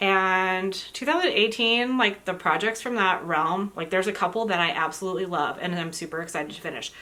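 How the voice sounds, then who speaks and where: A woman with a bright, sharp tone, ordinary pitch variation and a fairly quick pace. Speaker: crafting vlogger. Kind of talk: casual chat. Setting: indoors at home. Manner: fast.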